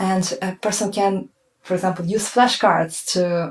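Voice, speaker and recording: Speaking fairly slowly, a woman talks with a non-native accent. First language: not English. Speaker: language teacher. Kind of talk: tutorial. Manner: hesitant, many fillers.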